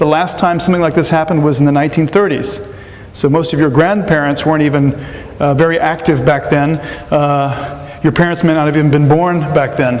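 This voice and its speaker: Through noticeable background noise and audible room echo, a man with an American accent speaks at a fairly high pitch with ordinary pitch variation. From United States. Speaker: economics professor. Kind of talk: lecture. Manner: halting, many fillers and repetitions.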